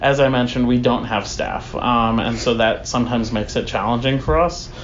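Through noticeable background noise and audible room echo, a man with an American accent speaks at a moderate pace in a medium pitch. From US, small conservative town. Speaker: community center board president. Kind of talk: interview. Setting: community center.

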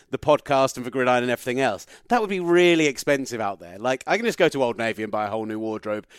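A man with an English accent and an energetic tone, lively in intonation, in a dry, close sound with no echo and a very clean recording with a silent background. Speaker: sports radio broadcaster. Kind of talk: interview.

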